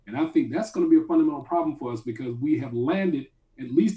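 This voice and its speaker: A man's dark, mellow tone, somewhat breathy, with lively intonation. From Atlanta, Georgia. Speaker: philosophy professor. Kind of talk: radio panel discussion.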